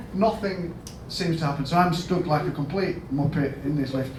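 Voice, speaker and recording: With a Yorkshire accent, a man with a fairly high pitch speaks amid noticeable background noise and audible room echo. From Yorkshire, northern England. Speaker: hospital chief executive. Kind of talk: conference talk. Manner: conversational, anecdotal.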